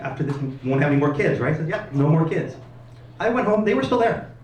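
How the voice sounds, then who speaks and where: A man with a fairly high voice and ordinary pitch variation speaks amid noticeable background noise, with audible room echo. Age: 50s. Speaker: comedian. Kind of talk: stand-up. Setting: stage with audience.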